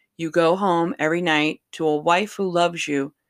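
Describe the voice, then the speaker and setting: Recorded very cleanly against a silent background with a dry, close sound and no echo, a woman speaks fairly slowly in a warm, fairly low voice with ordinary pitch variation. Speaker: electrician and podcast host. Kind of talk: pep talk. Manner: warm, encouraging, earnest; direct, emphatic, blunt.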